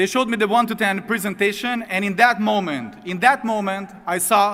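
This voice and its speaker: A man's raised, projected voice, high-pitched, with fairly even intonation and a fairly quick pace. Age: 30s. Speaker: network marketing distributor, former sports agent. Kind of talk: motivational testimony.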